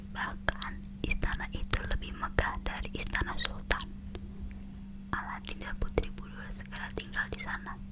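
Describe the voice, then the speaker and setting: A whisper moves at a moderate pace beneath noticeable background noise. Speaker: ASMR creator. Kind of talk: read story. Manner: whispered.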